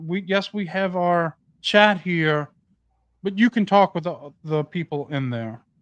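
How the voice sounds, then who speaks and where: A man's high-pitched voice with an American accent and ordinary pitch variation, at a fairly slow pace, in a dry, close sound with no echo against a quiet background. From New Orleans, US South. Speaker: podcast host. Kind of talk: casual podcast chat.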